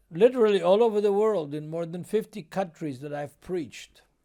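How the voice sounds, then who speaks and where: The recording is very clean, with a silent background. A man speaks with ordinary variation in pitch. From Israel, Jerusalem. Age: 70s. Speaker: Bible teacher. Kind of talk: Bible teaching.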